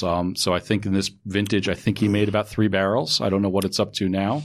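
Fairly low in pitch, a man talks at a fairly quick pace in a normal speaking voice. His intonation is fairly even, and the background is quiet. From New York, Westchester County. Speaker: wine retailer. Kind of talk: casual chat. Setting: studio.

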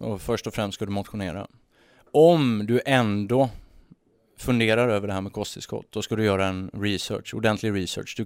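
This is an ordinary speaking voice in a very clean recording with a silent background. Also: man, fairly low pitch for a man, ordinary pitch variation, moderate pace. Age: 30s. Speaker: entrepreneur. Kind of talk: casual chat. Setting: studio.

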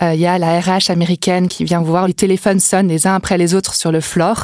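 Heard in a dry, close sound with no echo, a woman of medium pitch talks at a very fast pace with fairly even intonation. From Brittany, France (Vannes). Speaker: entrepreneur. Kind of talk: interview.

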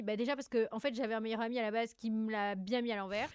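This is an ordinary speaking voice. The woman's pitch sits fairly high. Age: 20s. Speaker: content creator and entrepreneur. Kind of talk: casual chat.

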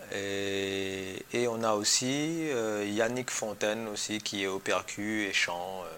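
A very slow, fairly low male voice with ordinary pitch variation. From Réunion, Saint-Pierre. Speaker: musician, percussionist. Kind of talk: interview. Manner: halting, many repetitions.

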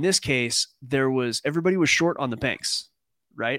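A man speaks with a medium pitch, ordinary pitch variation and a bright, sharp tone. The sound is dry and close with no echo, on a very clean recording with a silent background. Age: 40s. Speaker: trading podcast co-host. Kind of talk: casual chat with market analysis.

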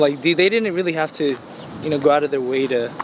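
A man with an American accent and a fairly high pitch, amid noticeable background noise. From Los Angeles, California. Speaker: singer. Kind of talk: casual interview. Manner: hesitant, many fillers.

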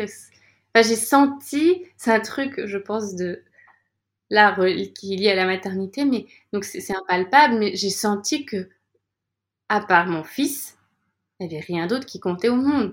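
In a very clean recording with a silent background, a woman with a fairly high pitch speaks at a fairly slow pace, using lively intonation and long, frequent pauses. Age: 30s. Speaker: yoga teacher and coach, former YouTuber. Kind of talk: interview. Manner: smiles a lot while talking; hesitant, repeats words.

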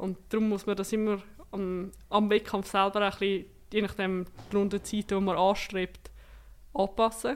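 A woman's medium-pitched voice at a moderate pace, monotone and flat, on a very clean recording with a silent background. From Switzerland, canton of Zurich. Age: 20s. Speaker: para-cyclist and political science student. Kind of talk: interview.

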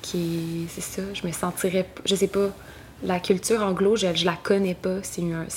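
The speech moves at a fairly slow pace with monotone, flat intonation. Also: woman, medium pitch for a woman. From Quebec, West Island of Montreal. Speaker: singer-songwriter. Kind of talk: interview. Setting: at home.

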